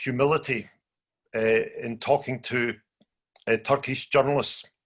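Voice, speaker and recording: Somewhat breathy, a man with a strong Scottish accent talks at a fairly slow pace and a fairly high pitch. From Scotland. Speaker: journalist. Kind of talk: conference talk. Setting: video call.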